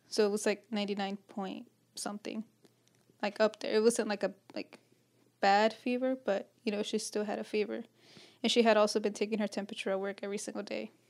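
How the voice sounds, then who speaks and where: On a very clean recording with a silent background, a woman with a fairly high pitch talks at a fairly quick pace in a flat monotone, leaving long, frequent pauses. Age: 20s. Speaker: host's girlfriend. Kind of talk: casual chat. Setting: at home.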